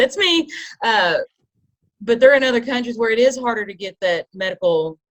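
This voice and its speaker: Dry and close with no echo, a woman with a Kentucky accent talks at a fairly quick pace with very wide pitch swings. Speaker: podcast panelist. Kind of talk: group discussion.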